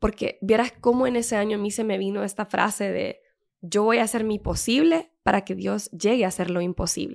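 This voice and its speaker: A fairly high female voice with vocal fry at a fairly quick pace. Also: ordinary pitch variation. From Honduras. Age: 30s. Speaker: civil engineer. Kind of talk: casual interview chat.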